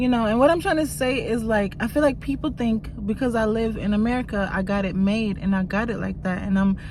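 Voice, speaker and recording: A woman speaks at a fairly quick pace with a slight Jamaican accent, hardly pausing at all. Her pitch is fairly high with ordinary variation, and room echo is audible. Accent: very slight Jamaican. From Jamaica, moved to US very young. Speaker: YouTuber. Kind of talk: casual vlog chat.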